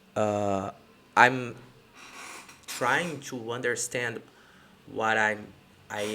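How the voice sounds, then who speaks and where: A non-native accent with a bright, sharp tone, fairly even intonation and a very slow pace. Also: man. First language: not English. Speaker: entrepreneur. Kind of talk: casual live-stream talk to camera. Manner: hesitant, many fillers.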